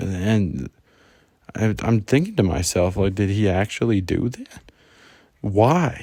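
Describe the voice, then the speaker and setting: A quiet, dark, mellow male voice, fairly low in pitch, at a very slow pace with ordinary pitch variation and long, frequent pauses. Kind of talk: casual storytime talk. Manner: quiet, subdued.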